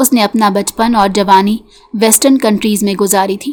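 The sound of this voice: The speaker uses an unforced reading voice with fairly even intonation.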